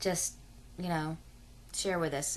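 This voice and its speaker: A woman speaks in a rural Southern US accent with a fairly low pitch. Her delivery is monotone and flat at a moderate pace. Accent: self-described hillbilly, rural Southern US. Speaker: adoption vlogger. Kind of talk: casual vlog monologue. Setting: at home in bed, video camera.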